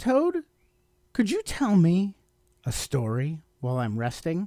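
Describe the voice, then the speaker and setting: A man puts on a character voice with a high pitch. He speaks at a fairly slow pace. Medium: read story.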